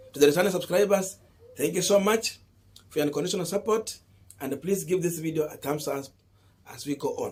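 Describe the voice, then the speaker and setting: A man talks at a fairly quick pace and a high pitch, with ordinary pitch variation and long, frequent pauses. Noticeable background noise can be heard. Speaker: political commentator. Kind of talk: political analysis vlog.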